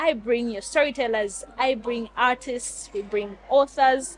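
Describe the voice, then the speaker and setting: A woman's high-pitched, fairly slow speech with ordinary pitch variation and noticeable background noise. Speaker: podcast host. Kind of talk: casual interview.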